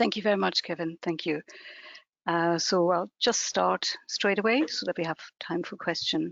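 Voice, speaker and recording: With vocal fry and ordinary pitch variation, a woman speaks at a moderate pace. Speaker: planning chief executive. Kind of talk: presentation. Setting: video call. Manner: soft-spoken.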